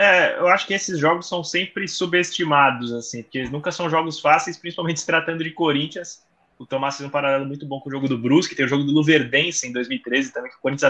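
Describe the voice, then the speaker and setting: Speaking very fast, a man has a bright, sharp tone and a fairly high pitch, with ordinary pitch variation. His loudness swings widely against a quiet background. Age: young. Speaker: sports journalist. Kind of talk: casual chat.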